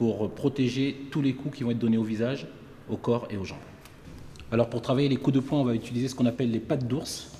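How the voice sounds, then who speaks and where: A man with a medium-pitched voice and fairly even intonation talks fairly quickly. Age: 40s. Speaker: martial arts instructor. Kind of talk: tutorial.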